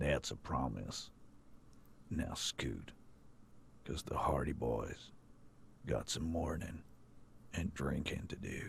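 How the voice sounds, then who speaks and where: A man uses a put-on character voice with a very deep, low pitch and ordinary pitch variation. He goes at a fairly slow pace with long, frequent pauses over clear background noise. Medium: game stream. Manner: gruff, swaggering.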